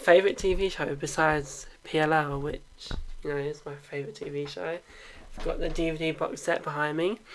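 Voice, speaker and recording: Fairly quick and fairly high, a man's voice holds a fairly even intonation. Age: 20s. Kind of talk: casual Q&A talk to camera. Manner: hesitant, awkward.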